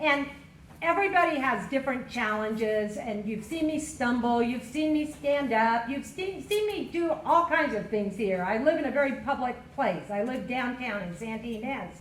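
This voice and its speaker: Loud speech in an American accent comes at a moderate pace with lively intonation, amid noticeable background noise and audible room echo. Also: woman, high pitch for a woman. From Kern County, California. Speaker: county supervisor candidate. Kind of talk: candidate forum opening statement. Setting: public forum with audience.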